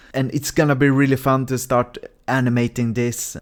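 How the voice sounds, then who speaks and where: The recording is very clean, with a silent background. A man with an unremarkable speaking voice talks at medium pitch and a moderate pace. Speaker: indie game developer. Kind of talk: casual devlog talk.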